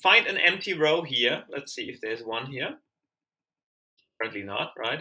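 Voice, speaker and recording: With a German accent, a man speaks at a moderate pace in a fairly high pitch, using lively intonation and a bright, sharp tone. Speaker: language learner and tutorial maker. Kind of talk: screen-share tutorial. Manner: hesitant, many fillers and restarts; casual, conversational.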